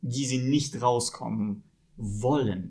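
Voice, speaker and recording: A man with a Russian accent speaks in a somewhat breathy way. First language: Russian (speaking German). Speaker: film podcast guest. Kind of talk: casual chat.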